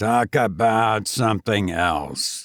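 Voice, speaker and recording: Putting on a character voice, a man sounds raspy at a fairly low pitch with ordinary pitch variation. The sound is dry and close, with no echo. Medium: read story. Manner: blunt, curt.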